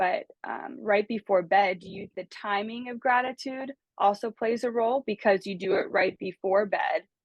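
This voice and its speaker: In a plain, everyday voice with an American accent, a woman talks at a moderate pace with a fairly high pitch, ordinary pitch variation, hardly any pauses, and big swings in loudness. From United States. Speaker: life coach. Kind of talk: casual conversation, podcast-style talk.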